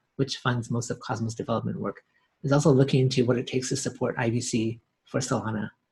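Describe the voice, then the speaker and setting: Somewhat breathy and at a medium pitch, a man talks at a fairly quick pace with fairly even intonation. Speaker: blockchain company CEO. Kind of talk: interview. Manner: fast.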